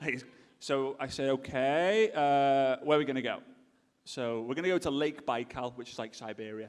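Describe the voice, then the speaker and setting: Fairly high in pitch, a man with an English accent speaks at a fairly quick pace. His pitch variation is ordinary. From England. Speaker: speaker at a business event. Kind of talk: storytelling talk.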